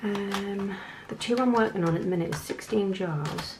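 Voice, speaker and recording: A medium-pitched woman with ordinary pitch variation over noticeable background noise. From North East England. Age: 20s. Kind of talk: casual talk to camera.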